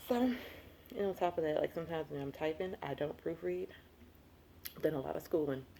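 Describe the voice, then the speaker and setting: The speaker has an animated tone and talks at a fairly quick pace. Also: woman. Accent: Southern US. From US South. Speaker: lifestyle vlogger. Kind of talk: casual vlog monologue. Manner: fast when excited; chatty, animated.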